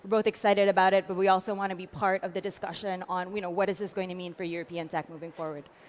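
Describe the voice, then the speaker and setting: A woman with an American accent at a very fast pace with hardly any pauses, medium pitch, monotone flat intonation, and big swings in loudness. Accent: American-sounding. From France. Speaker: tech policy advocate. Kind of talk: panel discussion. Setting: conference stage. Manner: fast, many fillers.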